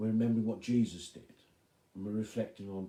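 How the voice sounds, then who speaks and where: A soft-spoken man's voice, fairly low in pitch and dark, mellow in tone, at a fairly quick pace with fairly even intonation. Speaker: pastor. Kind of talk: devotional talk.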